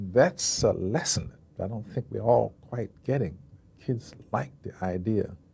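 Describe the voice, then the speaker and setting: Talking fairly slowly in an American accent, a man has a fairly low pitch with vocal fry. His pitch swings very widely and his loudness changes a lot. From United States. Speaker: actor. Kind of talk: interview answer. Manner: calm.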